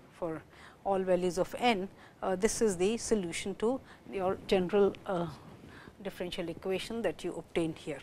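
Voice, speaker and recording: A woman speaks at a fairly quick pace. Her tone is dark and mellow. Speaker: mathematics lecturer. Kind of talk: lecture. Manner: loud; halting.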